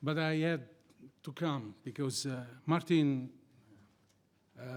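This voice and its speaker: A man with an Italian accent, fairly high pitch, fairly even intonation and a very slow pace. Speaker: criminal lawyer and society founder. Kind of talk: conference talk. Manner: halting, non-fluent English.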